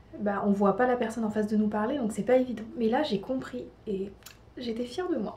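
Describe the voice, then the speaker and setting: A woman speaks fairly quickly, her voice fairly high with ordinary pitch variation. Noticeable background noise accompanies her. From France. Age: 20s. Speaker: au pair vlogger. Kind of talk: casual vlog monologue. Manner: hesitant, many fillers.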